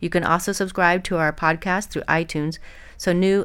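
A woman with a fairly low pitch speaks at a very fast pace in a monotone, flat intonation. The recording is very clean, with a silent background. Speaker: podcast host and lactation consultant. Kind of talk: interview. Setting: studio.

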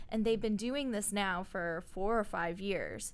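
At a fairly slow pace, a woman speaks at medium pitch. It is a normal speaking voice. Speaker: podcast co-host. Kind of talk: casual interview.

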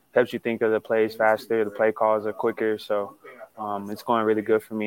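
A man with a fairly low pitch talks at a fairly quick pace in a monotone, flat intonation. The sound is dry and close, with no echo. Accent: American. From Texas. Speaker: pro football player. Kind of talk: interview. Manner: hesitant, many fillers.

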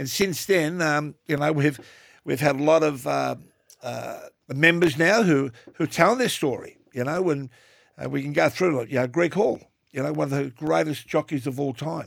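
Speaking at a moderate pace with an Australian accent, a man with a fairly high voice shows ordinary pitch variation on a very clean recording with a silent background. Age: 60s. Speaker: podcast co-host, TV personality. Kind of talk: casual chat.

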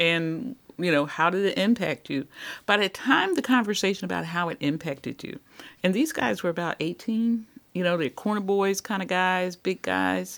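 A woman with an American accent, an ordinary speaking voice, medium pitch, lively intonation and a moderate pace, on a very clean recording with a silent background. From US, West Philadelphia. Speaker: pastor and community organization director. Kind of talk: podcast interview.

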